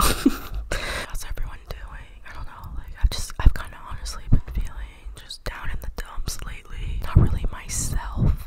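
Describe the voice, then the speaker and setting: Whispering at a fairly slow pace, a woman barely pauses while her loudness swings widely. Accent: American. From Atlanta, Georgia, USA. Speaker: YouTuber and ASMR vlogger. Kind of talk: casual talk to camera. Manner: upbeat, chatty. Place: home room. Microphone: studio mic.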